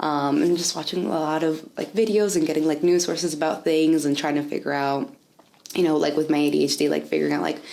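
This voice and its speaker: A woman talks at a very fast pace in a very deep, low voice with fairly even intonation, while noticeable background noise runs underneath. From US, raised in North Carolina area by Dominican immigrant parents. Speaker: interviewee, education/nonprofit worker. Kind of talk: oral history interview. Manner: casual, many fillers like 'like' and 'um'.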